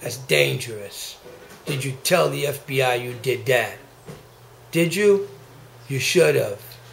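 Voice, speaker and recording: Amid audible room echo, a man with lively intonation speaks at a fairly slow pace with long, frequent pauses. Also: medium pitch for a man. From Haiti. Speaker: activist vlogger. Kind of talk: angry rant. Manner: agitated; halting.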